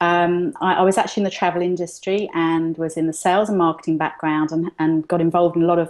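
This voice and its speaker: A woman with a London accent talks very fast in a fairly low voice, with hardly any pauses and monotone, flat intonation. Her loudness stays very even against a quiet background. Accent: London British. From London, England. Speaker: entrepreneur, digital magazine publisher. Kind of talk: interview. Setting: video call. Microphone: delayed, freezing connection.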